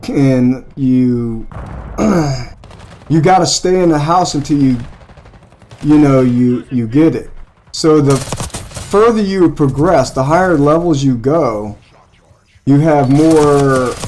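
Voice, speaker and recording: Against noticeable background noise, a man talks at a very slow pace with long, frequent pauses and ordinary pitch variation. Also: fairly high pitch for a man. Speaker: gaming streamer. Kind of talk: casual chat. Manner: loud.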